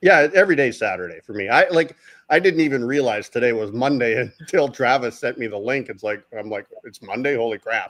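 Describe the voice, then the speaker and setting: A man with a normal speaking voice talks at a fairly quick pace and medium pitch, with lively intonation and big swings in loudness. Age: 60s. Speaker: gold miner and prospector. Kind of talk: casual chat.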